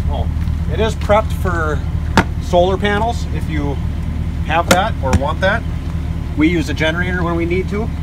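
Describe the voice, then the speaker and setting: A man talks at a moderate speed against loud background noise. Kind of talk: casual tour explanation. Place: open country.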